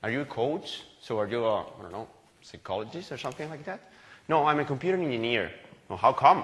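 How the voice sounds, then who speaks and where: A man with a Spanish accent, medium in pitch, fairly quick and lively in intonation. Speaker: agile coach, conference speaker. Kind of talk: conference talk. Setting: stage with audience. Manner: halting, self-correcting.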